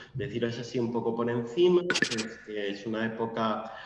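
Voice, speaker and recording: There is audible room echo and noticeable background noise as a man talks at a fairly slow pace with ordinary pitch variation. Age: 20s. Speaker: literature lecturer. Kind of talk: lecture.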